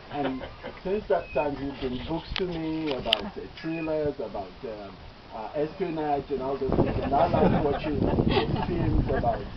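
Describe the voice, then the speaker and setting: Noticeable noise fills the background. A man talks at a fairly slow pace. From Nigeria. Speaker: doctor. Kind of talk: eulogy.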